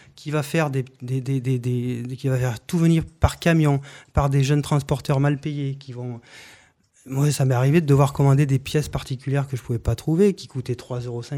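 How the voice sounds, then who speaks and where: On a very clean recording with a silent background, a man speaks at a fairly high pitch in a dark, mellow tone, with fairly even intonation and big swings in loudness. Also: moderate pace. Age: 40s. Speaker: municipal election candidate. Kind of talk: radio interview. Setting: radio studio, broadcast live. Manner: halting, with many repetitions.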